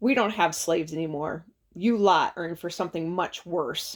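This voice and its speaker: A put-on, growling character voice at a middle pitch and moderate pace. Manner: menacing, sardonic.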